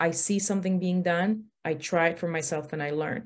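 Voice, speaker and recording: The recording is very clean, with a silent background. A woman speaks at a moderate pace and fairly low pitch, her intonation fairly even. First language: not English. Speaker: hairstylist and salon owner. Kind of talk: career panel talk. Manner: rambling, many fillers.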